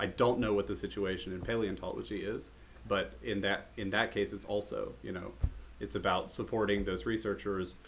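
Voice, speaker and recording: Vocal fry runs through a man's fairly low-pitched voice in an American accent. He keeps a moderate pace and ordinary pitch variation. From United States. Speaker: herpetologist and podcast host. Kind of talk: casual chat.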